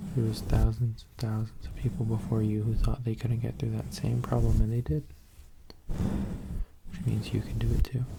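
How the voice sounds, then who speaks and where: Whispering and soft-spoken, a man leaves long, frequent pauses while his loudness swings widely. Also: moderate pace. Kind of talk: casual talk to camera, friend roleplay. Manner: whispered, soft-spoken.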